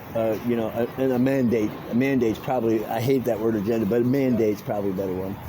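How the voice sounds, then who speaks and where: Noticeable background noise and audible room echo surround the speaker. He is a man with an American accent, moving at a fairly quick pace. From Miami, Florida. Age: 60s. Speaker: vlogger cycling cross country, ex-carnival worker. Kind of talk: casual vlog talk and chat with strangers. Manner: halting, many fillers and repetitions.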